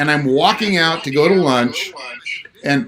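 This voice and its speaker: Noticeable background noise sits behind a man speaking at a moderate pace with fairly high pitch. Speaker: real estate agent and investing show host. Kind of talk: casual livestream chat. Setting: livestream on YouTube and Instagram.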